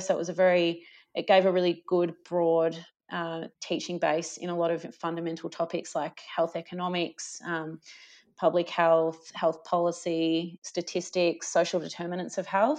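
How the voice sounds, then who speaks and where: The speaker talks in an Australian accent at a moderate pace. The intonation is monotone and flat, over a quiet background. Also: woman. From Australia, rural Victoria (Gippsland). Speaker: paediatric cardiologist. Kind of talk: interview.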